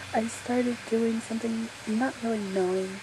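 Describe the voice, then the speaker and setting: A soft-spoken woman talks at a fairly slow pace in a gentle tone with fairly even intonation. Noticeable background noise can be heard. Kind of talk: ASMR soft-spoken personal story to camera, recounting a paranormal experience. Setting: outdoors on a back porch in the rain, with neighbor noise in the background. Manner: soft-spoken, gentle, conversational.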